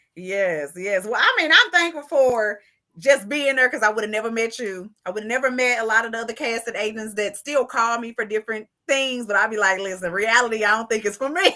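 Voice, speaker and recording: Speaking at a fairly quick pace, a woman with a strong Southern US accent uses an animated, bright, sharp tone at a fairly high pitch. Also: ordinary pitch variation. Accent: thick Southern country. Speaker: interviewer. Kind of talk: casual chat.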